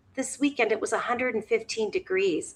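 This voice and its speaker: A woman's high voice comes across animated, with a bright, sharp tone. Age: 60s. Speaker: weight-loss vlogger. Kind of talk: live stream chat.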